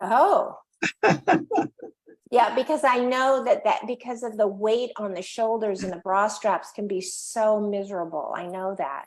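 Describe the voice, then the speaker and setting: A woman with an unremarkable speaking voice, fairly high pitch, ordinary pitch variation and a fairly slow pace. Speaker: interviewer. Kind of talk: live interview host.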